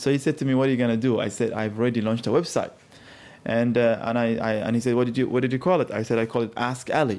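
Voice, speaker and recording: A man's voice at a medium pitch, with an Arabic accent, very fast pace and fairly even intonation. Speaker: culture consultant. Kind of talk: interview.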